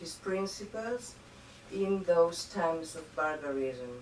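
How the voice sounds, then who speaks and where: Speaking very slowly with a Spanish accent and lively intonation, a woman is heard amid audible room echo and noticeable background noise. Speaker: diplomat. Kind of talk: formal speech. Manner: halting, many fillers.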